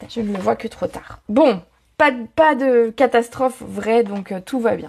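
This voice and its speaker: This woman speaks at a moderate pace. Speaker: papercraft product demonstrator. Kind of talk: live craft tutorial. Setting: live video stream. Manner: chatty, casual.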